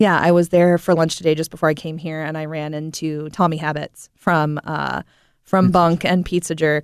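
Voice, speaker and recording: A woman's very deep, low voice with an American accent, monotone and flat, in a dry, close sound with no echo and a quiet background. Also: moderate pace. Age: 20s. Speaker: chef. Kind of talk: casual interview chat. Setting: studio.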